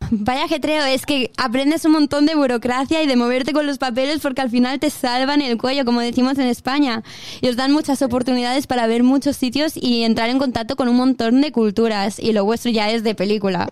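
A woman with a strong Spanish accent talks high and fairly quick, with hardly any pauses, fairly even intonation and very even loudness. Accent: strong Spanish (Spain). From Mallorca, Spain. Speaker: radio host. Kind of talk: casual interview.

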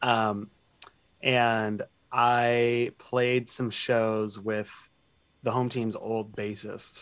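With an American accent, a man talks at a very slow pace, leaving long, frequent pauses. His medium-pitched voice holds a flat monotone. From US Pacific Northwest, Seattle. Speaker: musician in a band. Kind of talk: casual interview.

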